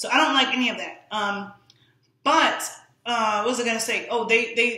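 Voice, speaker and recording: In a quiet room with audible echo, a woman in an American accent speaks at a moderate pace with a fairly high pitch and ordinary pitch variation. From New York. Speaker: fitness and nutrition influencer; nutrition influencer. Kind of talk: live-streamed monologue. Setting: live social media stream. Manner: casual, frequent fillers. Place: home room. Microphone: camera far.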